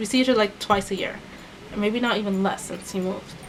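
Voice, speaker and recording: A woman talks at a medium pitch. Noticeable background noise runs under her voice. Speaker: beauty vlogger, former retail worker. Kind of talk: storytime vlog. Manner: fast; casual, conversational.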